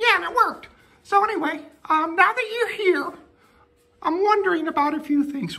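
A cartoonish character voice, female-sounding, is pitched extremely high. It moves at a moderate pace with long, frequent pauses. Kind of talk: comic domestic sketch. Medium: puppet show. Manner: menacing in a joking way; nagging, demanding, petty.

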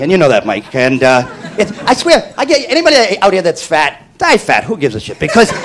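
The speaker rushes along at a very fast pace with very wide pitch swings. Noticeable background noise can be heard. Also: man. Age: under 50. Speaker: stand-up comedian. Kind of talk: stand-up.

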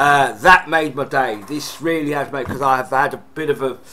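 Light background noise accompanies a man speaking with a British accent. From UK. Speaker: gaming YouTuber. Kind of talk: casual unboxing vlog. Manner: excitable. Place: home room. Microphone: webcam.

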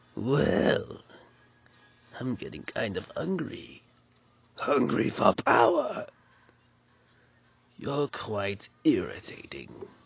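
A man puts on a character voice and talks very slowly, leaving long pauses that come often. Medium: voice reel.

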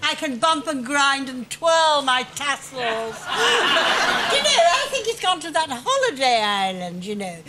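In a put-on character voice, a woman speaks high in pitch with a bright, sharp tone and big pitch swings, at a fairly slow pace with few pauses, over faint background noise.

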